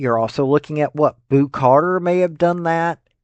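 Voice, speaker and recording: Lively intonation in a Tennessee accent. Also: man. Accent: US Southern (Tennessee). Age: 50s. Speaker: sports commentator. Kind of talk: opinion commentary. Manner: casual, conversational.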